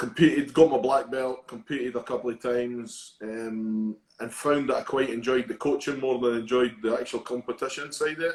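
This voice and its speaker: A man with a Scottish accent speaks at a fairly quick pace and medium pitch, with fairly even intonation and hardly any pauses. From Scotland, Edinburgh. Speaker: judo coach. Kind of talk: interview.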